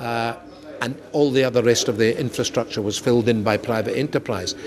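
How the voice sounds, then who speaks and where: Amid noticeable background noise, a man with a Scottish accent speaks at a moderate pace and medium pitch with ordinary pitch variation. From Scotland. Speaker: comedian. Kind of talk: interview. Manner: animated.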